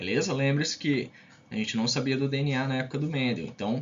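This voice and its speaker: Fairly quick and fairly high-pitched, a man is speaking. There is ordinary pitch variation in his somewhat breathy voice. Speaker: science teacher. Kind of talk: lecture. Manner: fast; casual, with many fillers.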